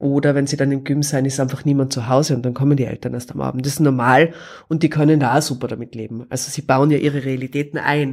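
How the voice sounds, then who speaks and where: Over a silent background in a very clean recording, a woman with a very deep, low pitch talks at a very fast pace in a monotone, flat intonation. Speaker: podcast guest, mother. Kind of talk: casual interview. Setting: living room.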